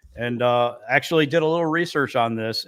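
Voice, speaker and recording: A man's plain, everyday voice, fairly quick with ordinary pitch variation, on a very clean recording with a silent background. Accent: American. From northern New York, near Canadian border. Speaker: podcast co-host. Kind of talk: casual chat; reading out researched facts.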